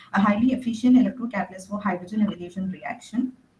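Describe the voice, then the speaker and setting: A woman talks with a fairly high pitch. She is soft-spoken. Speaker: conference presenter, researcher. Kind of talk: conference talk. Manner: halting. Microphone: too quiet.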